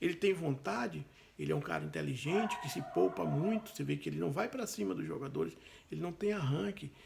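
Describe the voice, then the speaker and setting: Over noticeable background noise, a man speaks at a fairly quick pace in a fairly high pitch with very wide pitch swings. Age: 60s. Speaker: football fan commentator. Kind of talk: opinion monologue.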